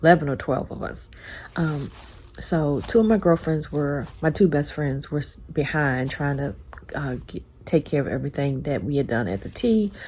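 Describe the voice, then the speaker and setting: Somewhat breathy and dark and mellow in tone, a woman's very deep, low voice moves at a moderate pace. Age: 60s. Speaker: lifestyle vlogger. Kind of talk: casual vlog chat.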